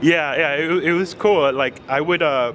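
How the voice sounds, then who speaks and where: A man, heard through noticeable background noise, talks fairly slowly with ordinary pitch variation. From abroad, moved to US at seven. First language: not English. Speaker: technical consultant. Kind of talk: interview. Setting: conference event. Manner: halting, many fillers; enthusiastic.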